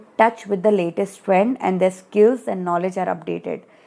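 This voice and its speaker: A woman with an Indian accent talks at a moderate pace in a dark, mellow tone. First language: Hindi. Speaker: study group tutor. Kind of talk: lecture. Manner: reading from study material with explanatory asides.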